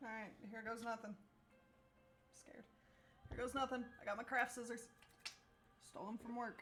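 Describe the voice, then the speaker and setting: Mumbling at a moderate pace, broken by long, frequent pauses. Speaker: streamer and cosplayer. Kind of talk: casual tutorial stream. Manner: casual, self-deprecating chatter.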